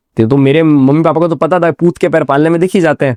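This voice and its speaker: Dark, mellow male tones, recorded dry and close without echo. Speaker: radio professional, event anchor, storyteller. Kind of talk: interview answer. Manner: casual, conversational.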